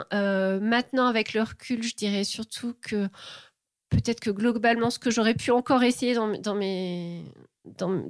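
With fairly even intonation, a woman speaks at a moderate pace and fairly high pitch on a very clean recording with a silent background, dry and close with no echo. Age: 40s. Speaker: former engineer turned illustrator. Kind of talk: interview. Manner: halting.

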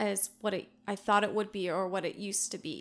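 On a very clean recording with a silent background, a woman speaks in a fairly bright tone with vocal fry and fairly even intonation. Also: medium pitch for a woman, moderate pace.

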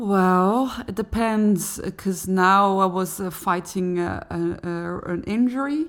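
A woman with a Dutch accent speaks at a very slow pace and a medium pitch, with ordinary pitch variation and hardly any pauses, in a very clean recording with a silent background. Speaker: cellist and singer. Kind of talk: interview conversation.

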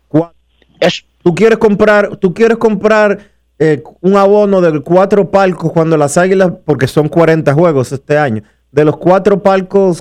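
A high-pitched man at a fairly slow pace, with very even loudness. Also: ordinary pitch variation. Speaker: radio sports show host. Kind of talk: radio sports talk show. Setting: radio studio.

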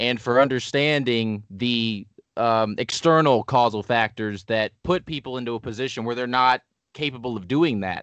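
The pace is moderate and the pitch varies in an ordinary way. The sound is dry and close, with no echo. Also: man, medium pitch for a man. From Indianapolis, US Midwest. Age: 20s. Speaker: spiritual researcher. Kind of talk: casual interview. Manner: halting, many fillers.

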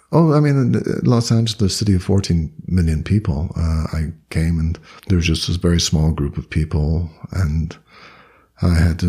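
Very deep and low, this man's voice has a dark, mellow tone, a somewhat breathy quality and ordinary pitch variation. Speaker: Buddhist teacher and author. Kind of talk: interview. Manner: hesitant with fillers.

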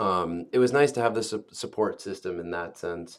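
On a very clean recording with a silent background, a man with an unremarkable speaking voice talks at a moderate pace and a fairly low pitch. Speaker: college student, study abroad peer advisor. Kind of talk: casual chat.

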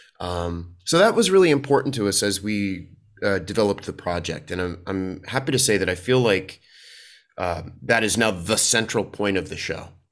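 An ordinary speaking voice: a man with an American accent at a fairly low pitch. He keeps a moderate pace with ordinary pitch variation. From US, Washington DC. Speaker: theatre actor and performer. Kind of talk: interview.

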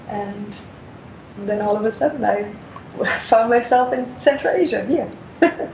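Noticeable background noise sits behind a woman with a German accent and a fairly high pitch. She speaks fairly slowly with ordinary pitch variation and long, frequent pauses. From Germany. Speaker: international development worker. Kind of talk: interview. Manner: frequent filler words, hesitant.

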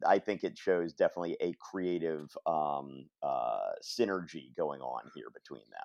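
A man at a moderate pace, recorded dry and close with no echo against a quiet background. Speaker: podcast co-host discussing comics. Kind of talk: casual chat.

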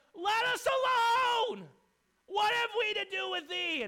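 A put-on character voice of extremely high pitch at a moderate pace. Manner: possessed, crying out.

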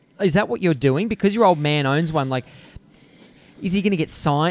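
Talking at a fairly quick pace, a man with an Australian accent and a fairly high pitch makes very wide pitch swings. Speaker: podcast host. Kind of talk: casual interview chat. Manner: filler-heavy, stumbling.

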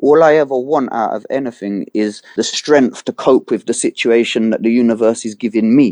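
Recorded dry and close with no echo over a quiet background, a man with a London accent speaks in a dark, mellow tone with ordinary pitch variation. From London, England. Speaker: hip hop artist. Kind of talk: interview. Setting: remote call. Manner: halting, repeats words.

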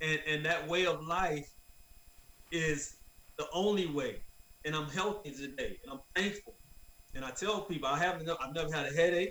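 A high-pitched man with an American accent, ordinary pitch variation and long, frequent pauses amid noticeable background noise. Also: moderate pace. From Florida, US. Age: 50s. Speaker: wrongful conviction advocate. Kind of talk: interview.

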